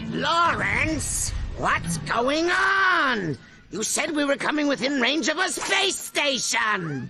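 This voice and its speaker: A cartoonish character voice speaks at a very slow pace. Background noise is clearly audible. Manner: theatrical, explosive, ranting.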